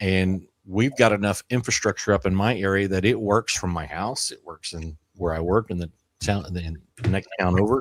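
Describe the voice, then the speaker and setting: A man speaks in a normal speaking voice, fairly low in pitch, at a moderate pace with ordinary pitch variation and big swings in loudness. The recording is very clean with a silent background and a dry, close sound with no echo. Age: 50s. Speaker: amateur radio content creator. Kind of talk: casual chat. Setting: live stream.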